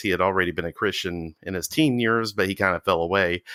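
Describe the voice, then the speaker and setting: With an Alabama accent, a man speaks at a fairly low pitch in a bright, sharp tone. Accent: Southern US (Alabama). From US South, Walker County, Alabama. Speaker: cult survivor. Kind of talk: interview testimony.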